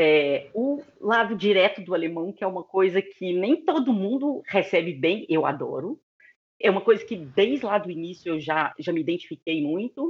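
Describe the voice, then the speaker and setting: Her pitch sits in the medium range but swings very widely. The woman keeps a moderate pace. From Brazil, Belo Horizonte, Minas Gerais. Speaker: relocation business owner. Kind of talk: interview.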